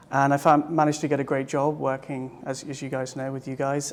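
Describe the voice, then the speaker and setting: A man with a British accent talks at a moderate pace. His pitch is fairly high and his intonation flat and monotone. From England, small village. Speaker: psychedelic retreat participant. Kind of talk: interview. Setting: retreat in Costa Rica. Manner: halting, repeats words.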